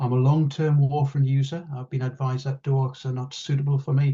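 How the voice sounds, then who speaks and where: A man speaks with a northeast English accent in a monotone, flat way. His tone is dark and mellow, and somewhat breathy. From northeast England. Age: 60s. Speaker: patient advocate. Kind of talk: testimony.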